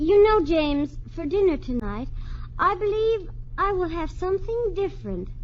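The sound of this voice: A woman uses a put-on character voice at an extremely high pitch. She speaks fairly slowly with big pitch swings.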